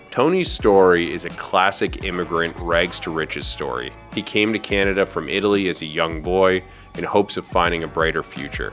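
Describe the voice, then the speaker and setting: Music plays behind a man whose very deep, low pitch shows ordinary variation as he talks at a fairly quick pace. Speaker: podcast host. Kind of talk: podcast intro narration.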